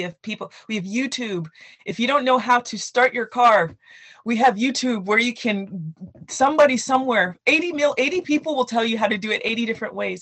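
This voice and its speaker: A plain, everyday voice from a woman, moderately paced and lively in intonation. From Canada, Nigerian parents. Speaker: children's book author. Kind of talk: interview.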